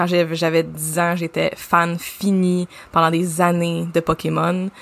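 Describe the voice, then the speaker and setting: A woman with a Quebec accent speaks at a very slow pace. Her fairly low voice stays monotone and flat. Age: 30s. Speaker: podcast co-host, branding agency founder. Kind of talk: casual chat.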